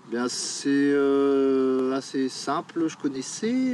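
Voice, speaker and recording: A fairly high-pitched man with ordinary pitch variation, over noticeable background noise. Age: 40s. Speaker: chalet builder, volunteer. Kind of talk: documentary interview.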